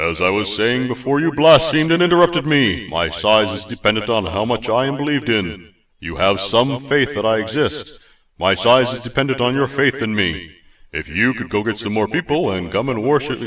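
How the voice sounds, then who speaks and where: A man puts on a booming character voice at a medium pitch and a moderate pace. The recording is very clean, with a silent background. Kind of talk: archaic, grandiose speech. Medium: read story. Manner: pompous, theatrical.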